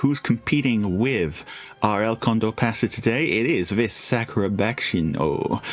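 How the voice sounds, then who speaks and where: The voice moves at a fairly slow pace with lively intonation and very even loudness. Noticeable background noise is present. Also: man, medium pitch for a man. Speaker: vtuber game streamer. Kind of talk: live gameplay commentary. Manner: animated.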